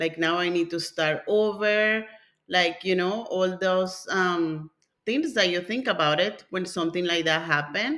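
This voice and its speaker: A woman speaks in a normal speaking voice at a medium pitch. Her pace is fairly slow and her pitch variation ordinary. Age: 50s. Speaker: family constellation therapist. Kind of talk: interview.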